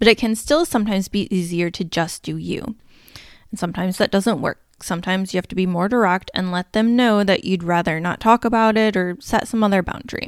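Recorded very cleanly with a silent background, a woman with an ordinary speaking voice speaks fairly quickly at a medium pitch with ordinary variation. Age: 30s. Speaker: podcast host, energy mentor for entrepreneurs. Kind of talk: solo podcast monologue on money mindset.

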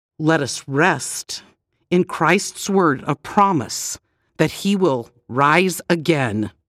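A woman speaks at a very slow pace with a very deep, low pitch. Her intonation is lively, and the sound is dry and close with no echo. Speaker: devotional narrator. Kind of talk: devotional audiobook narration with scripture readings and a closing prayer. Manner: calm, solemn and reverent, slow and measured; gentle, reassuring, formal.

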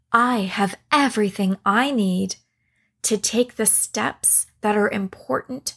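A woman's somewhat breathy, medium-pitched voice at a very slow pace, dry and close with no echo, on a very clean recording with a silent background. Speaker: meditation guide. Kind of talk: guided meditation with affirmations. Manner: calm, slow, soothing.

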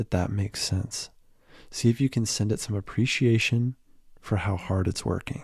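On a very clean recording with a silent background, a man speaks in a gentle, dark, mellow tone, somewhat breathy and fairly low, with fairly even intonation. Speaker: meditation guide. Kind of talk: guided meditation. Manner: gentle, with long pauses.

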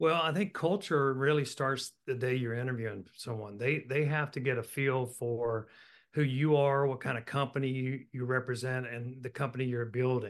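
This man has an unremarkable speaking voice with an American accent, medium in pitch and fairly even in intonation. He talks at a moderate pace against a quiet background. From Virginia, Roanoke. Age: 60s. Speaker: business executive. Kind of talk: interview.

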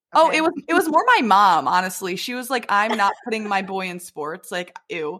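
A woman with an American accent speaks at a moderate pace with hardly any pauses. Her pitch swings very widely and her loudness varies greatly. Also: medium pitch for a woman. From Michigan, Detroit area. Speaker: beauty pageant winner. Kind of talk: casual chat.

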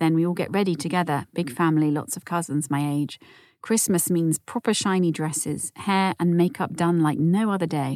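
On a very clean recording with a silent background and a dry, close sound with no echo, a woman speaks at a fairly low pitch in a warm, soothing, dark, mellow tone with ordinary pitch variation. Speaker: podcast host. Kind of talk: scripted narration. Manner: warm, soothing, calm.

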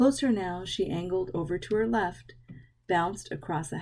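Ordinary pitch variation in plain reading aloud

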